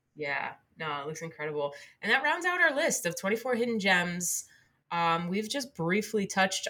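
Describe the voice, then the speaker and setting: A woman with an American accent speaks at a moderate pace in an ordinary speaking voice. Her pitch is fairly low. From New Jersey. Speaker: podcast co-host. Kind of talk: casual chat.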